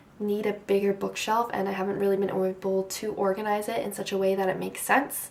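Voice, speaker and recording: A woman talks in a Canadian accent over noticeable background noise. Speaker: booktuber. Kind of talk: casual chat. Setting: at home, beside front door. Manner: soft-spoken.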